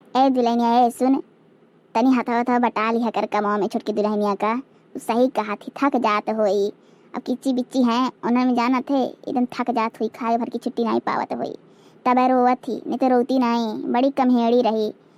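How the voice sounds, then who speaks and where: A woman does a cartoonish character voice, high-pitched and monotone with flat intonation, at a moderate pace in a dry, close sound with no echo. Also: very clean recording, silent background. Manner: warm, coaxing.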